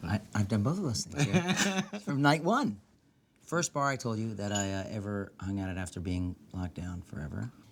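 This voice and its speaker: Soft-spoken and fairly low in pitch, a man with an American accent talks at a moderate pace. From New York City. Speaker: talk show host. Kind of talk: scripted narration; casual chat. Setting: basement of a bar.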